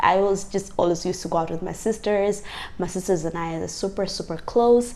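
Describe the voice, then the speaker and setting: A woman speaks at a fairly quick pace with vocal fry. Her pitch is fairly low and her intonation fairly even. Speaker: lifestyle vlogger. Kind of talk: casual talk to camera. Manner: conversational, lots of fillers.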